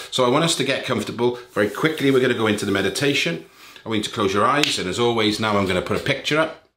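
It's an ordinary speaking voice. A man talks at a medium pitch with ordinary pitch variation. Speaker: meditation teacher. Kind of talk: guided meditation; casual talk to camera. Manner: calm, slow, soothing, gentle pacing with long pauses; warm, caring, encouraging.

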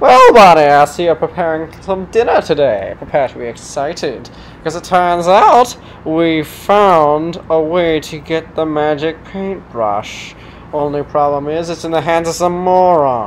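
A female-sounding voice at a middle pitch speaks at a moderate pace with ordinary pitch variation. Clear background noise runs underneath. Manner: smug, condescending, then exasperated.

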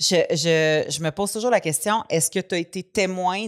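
A woman talks fairly slowly against a quiet background, her pitch varying in an ordinary way. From Quebec. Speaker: podcast co-host; comedian. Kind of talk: casual chat. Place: studio. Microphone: studio mic.

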